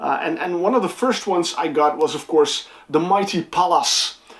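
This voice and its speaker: At a moderate pace, a woman with a medium pitch speaks with lively intonation over noticeable background noise. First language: not English. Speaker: music reviewer and channel host. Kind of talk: casual vlog. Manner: halting, many fillers and repeats.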